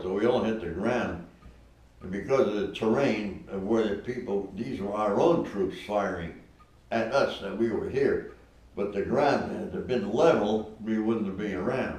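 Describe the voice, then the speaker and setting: Through noticeable background noise, a man with a fairly low pitch speaks at a fairly slow pace with ordinary pitch variation. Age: 80s+. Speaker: war veteran. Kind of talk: interview answer.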